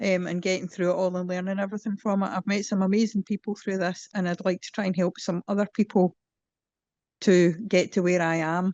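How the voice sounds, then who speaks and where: Against a quiet background, a woman at medium pitch talks fairly quickly in a monotone, flat delivery with a dry, close sound and no echo. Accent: Scottish. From Scotland. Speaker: patient advocate, board member. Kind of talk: self-introduction. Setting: video call.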